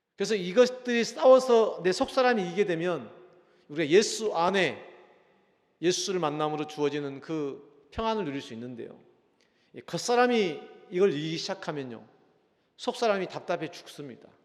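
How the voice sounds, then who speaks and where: A man with a high voice speaks at a moderate pace, his pitch swinging very widely and his volume rising and falling sharply, with long, frequent pauses and audible room echo. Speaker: pastor. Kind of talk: sermon. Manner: strong intonation; not calm, intense.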